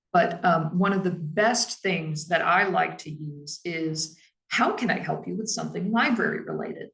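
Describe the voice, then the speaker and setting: A woman with a fairly low pitch and vocal fry talks at a moderate pace with ordinary pitch variation. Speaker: library staff trainer. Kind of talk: professional training talk.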